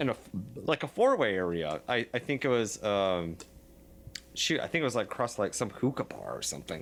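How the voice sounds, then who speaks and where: Using vocal fry, a man speaks at a fairly quick pace. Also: medium pitch for a man, lively intonation. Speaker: musician in a band. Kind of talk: casual chat. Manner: halting, many fillers.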